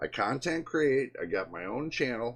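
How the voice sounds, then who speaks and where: Speaking at a fairly slow pace, a man keeps a medium pitch. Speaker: tech YouTuber. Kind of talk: personal storytelling monologue. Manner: halting.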